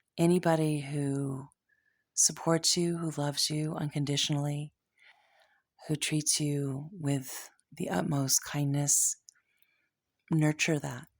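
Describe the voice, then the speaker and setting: In a very clean recording with a silent background, a soft-spoken woman with a very deep, low pitch talks at a very slow pace in a monotone, flat intonation, leaving long, frequent pauses. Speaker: tarot reader. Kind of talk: tarot reading. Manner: halting.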